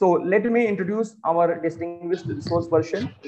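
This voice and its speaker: A man is heard talking with noticeable background noise in the recording. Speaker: webinar host. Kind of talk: formal welcome introduction. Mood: formal, polite. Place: office. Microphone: earbuds.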